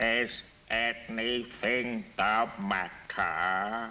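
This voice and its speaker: Over clear background noise, a man puts on a drawling character voice at a medium pitch. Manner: slow, drawling.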